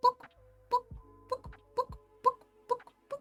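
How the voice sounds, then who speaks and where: A put-on character voice is delivered at an extremely high pitch. Faint music plays in the background. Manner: clucking, comedic.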